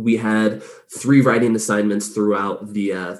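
A man with an Inland Northwest accent, a dark, mellow tone and a fairly quick pace. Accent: American (Inland Northwest). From US, northern Idaho. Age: 20s. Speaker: podcast host. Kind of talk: casual interview chat. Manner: animated, laughing often.

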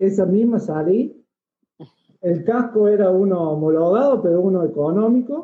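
At a fairly slow pace, a man speaks at a high pitch that swings very widely. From Argentina, Córdoba province (Villa María). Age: 30s. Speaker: motorcycle traveler. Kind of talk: casual interview. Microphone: too quiet.

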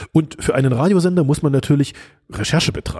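A man with a dark, mellow tone and a somewhat breathy sound speaks at a very fast pace. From East Germany (GDR). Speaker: futurist and podcast host, former radio journalist. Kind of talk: solo podcast monologue.

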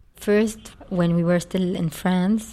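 A woman's fairly low voice with a dark, mellow tone. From Lebanon (Beirut). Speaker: media company co-founder and CEO. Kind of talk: interview.

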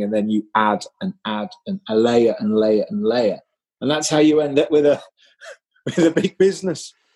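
At a moderate pace, a man with a dark, mellow tone uses lively intonation, the sound dry and close with no echo. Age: 50s. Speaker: entrepreneur. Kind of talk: interview.

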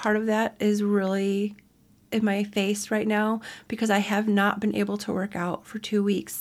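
The recording is very clean, with a silent background. A woman speaks in a monotone, flat intonation. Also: medium pitch for a woman, moderate pace. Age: 40s. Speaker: podcast host and fitness mentor. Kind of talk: casual solo podcast monologue. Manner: chatty, conversational.

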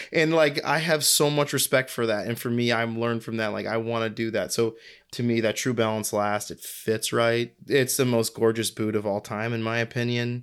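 Over a silent background in a very clean recording, a man with an American accent speaks in a plain, everyday voice at a medium pitch and moderate pace, with fairly even intonation. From US Northeast (New England). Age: 30s. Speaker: footwear designer and brand founder. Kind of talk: casual interview.

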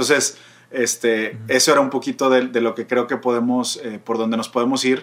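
This man has a Mexican accent and a medium pitch. He talks at a fairly quick pace in a monotone, flat intonation. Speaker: podcast co-host, psychology. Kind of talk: casual chat. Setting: remote recording.

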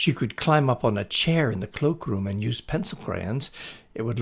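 Someone reads with lively intonation in an unforced reading voice.

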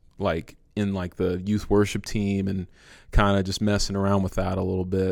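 A man speaks in a normal speaking voice with an American accent, fairly low in pitch and at a moderate pace. The recording is very clean, with a silent background. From San Francisco, California. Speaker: musician and worship leader. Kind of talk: casual interview chat.

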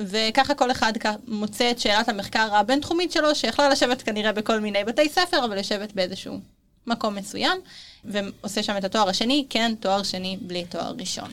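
A woman speaks at a fairly quick pace in an ordinary speaking voice, her fairly high pitch carried by lively intonation. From Israel, Tel Aviv. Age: 20s. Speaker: university student. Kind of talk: interview.

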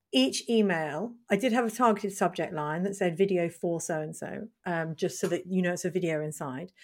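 Speech runs at a fairly quick pace with hardly any pauses and ordinary pitch variation, in a British accent. The recording is very clean, with a silent background. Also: woman, fairly low pitch for a woman. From Britain. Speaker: marketing consultant, podcast host. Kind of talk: casual chat.

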